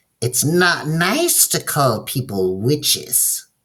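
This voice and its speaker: The speaker cackles in a put-on character voice at low-to-middle pitch. The pace is very slow. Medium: read story. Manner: sly, cackling.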